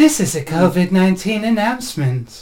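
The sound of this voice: With a put-on character voice, the speaker uses a middle pitch at a fairly slow pace.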